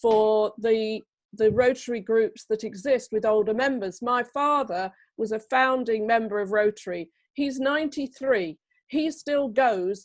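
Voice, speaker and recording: A woman speaks fairly slowly in a plain, everyday voice, pitched fairly high with ordinary pitch variation. The background is quiet. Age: 60s. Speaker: club member. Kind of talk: online meeting discussion.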